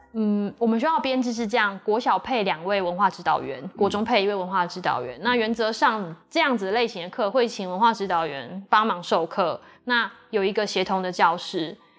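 An ordinary speaking voice from a woman, with lively intonation and hardly any pauses. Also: medium pitch for a woman, moderate pace. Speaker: school teacher and administrator. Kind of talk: interview. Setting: on location at a school.

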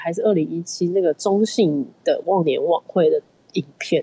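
A woman speaks at a medium pitch and a moderate pace. She has a plain, everyday voice. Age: young. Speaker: film producer and company founder. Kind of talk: casual interview.

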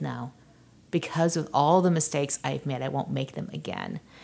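With ordinary pitch variation, a woman speaks through vocal fry. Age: 40s. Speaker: tech founder and CEO, author. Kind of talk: interview.

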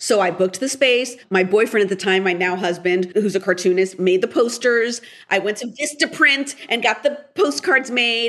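A woman's unremarkable speaking voice with an American accent, fairly high in pitch, at a moderate pace with hardly any pauses. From US West Coast, Portland, Oregon. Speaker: TV writer and director. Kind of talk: interview.

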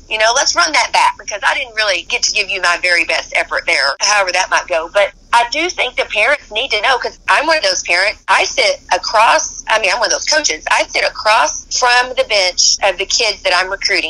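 A woman talks at a fairly quick pace with hardly any pauses, her fairly high pitch making very wide swings. Noticeable background noise can be heard. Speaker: college basketball coach. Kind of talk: interview. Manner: energetic.

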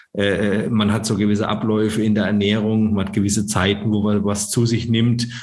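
A man talks at a moderate pace with a fairly low pitch. Audible room echo surrounds his voice. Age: 40s. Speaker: startup founder. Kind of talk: interview.

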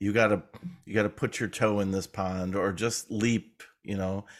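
A man talks at a moderate pace with a fairly low pitch. He has a plain, everyday voice. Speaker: documentary editor and filmmaker. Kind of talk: casual interview chat.

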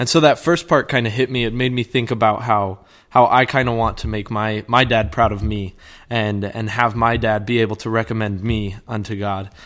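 In a very clean recording with a silent background, a medium-pitched man talks at a moderate pace with fairly even intonation. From US South, Georgia. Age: young. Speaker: missionary. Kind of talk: casual chat. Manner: halting.

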